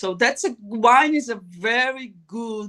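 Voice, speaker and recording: A woman's bright, sharp voice in a Brazilian accent, fairly high in pitch with ordinary pitch variation. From northeast Brazil. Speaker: business strategist and wine expert. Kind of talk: interview. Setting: live stream. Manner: halting.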